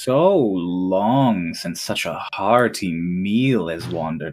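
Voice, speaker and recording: Putting on a character voice, a man speaks at a very slow pace with a very deep, low pitch. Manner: eerie, hungry, drawn out.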